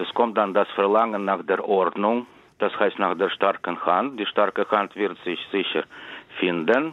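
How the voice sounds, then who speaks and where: Man with a Russian accent, fairly low pitch, fairly slow pace, ordinary pitch variation. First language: Russian (speaking German). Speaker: writer. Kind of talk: interview.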